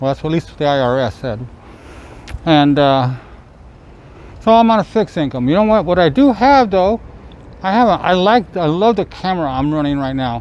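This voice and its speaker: Amid noticeable background noise, a man's fairly high voice swings very widely in pitch, broken by long, frequent pauses. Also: fairly quick pace. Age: 60s. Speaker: vlogger, trike rider. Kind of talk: casual vlog monologue. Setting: outdoors, selfie-stick camera. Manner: halting, many fillers and repeats.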